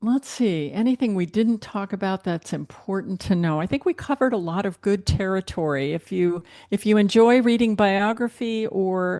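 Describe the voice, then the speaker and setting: With a plain, everyday voice, a woman speaks at a medium pitch with ordinary pitch variation and hardly any pauses, the sound dry and close with no echo. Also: moderate pace, quiet background. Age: 60s. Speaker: book editor and author. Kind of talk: interview.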